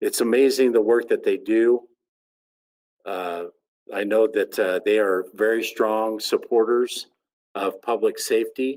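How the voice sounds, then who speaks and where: A man with an American accent, fairly slow pace, long, frequent pauses. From Oklahoma. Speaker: sheriff, association president. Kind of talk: ceremony speech.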